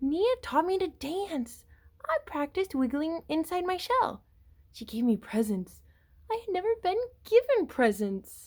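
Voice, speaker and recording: A put-on character voice, raised and projected, hits an extremely high pitch with very wide pitch swings at a moderate pace. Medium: read story.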